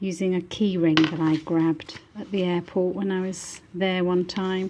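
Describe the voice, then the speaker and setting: A woman's medium-pitched voice in a British accent, dark and mellow in tone, with ordinary pitch variation. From northern England, Manchester. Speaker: book artist. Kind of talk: product showcase. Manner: animated.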